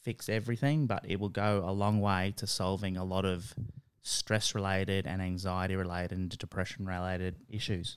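On a very clean recording with a silent background, a man with an Australian accent speaks very deep and low, at a moderate pace with fairly even intonation. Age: 40s. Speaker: tutor and mental health worker. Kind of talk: casual interview.

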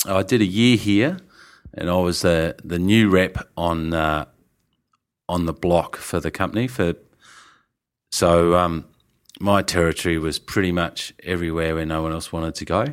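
On a very clean recording with a silent background, a man with an Australian accent and a very deep, low pitch talks at a moderate pace with fairly even intonation and long, frequent pauses. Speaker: winemaker. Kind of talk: interview. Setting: in person, Melbourne.

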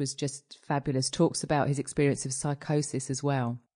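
A woman with a British accent speaks in a very deep, low voice against a quiet background. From UK. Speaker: mental health director. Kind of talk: casual chat.

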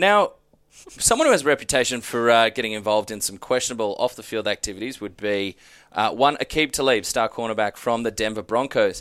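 A man with an Australian accent speaks at a fairly quick pace and a medium pitch, with ordinary pitch variation. The recording is very clean and the background silent. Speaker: sports podcast host. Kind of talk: casual chat.

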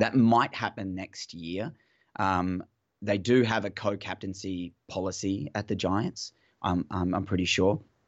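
This man speaks with an Australian accent at a fairly slow pace. His pitch sits fairly low and his intonation stays fairly even. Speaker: football fan guest. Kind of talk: casual chat. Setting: phone call. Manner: halting.

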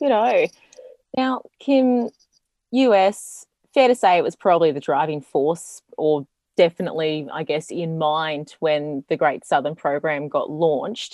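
A woman with an Australian accent, fairly low in pitch, with very wide pitch swings at a fairly slow pace, in a dry, close sound with no echo and a quiet background. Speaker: podcast host. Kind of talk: interview.

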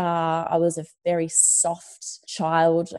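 Against a quiet background, a woman with an Australian accent talks in a dark, mellow tone. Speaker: journalist and entrepreneur. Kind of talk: casual interview.

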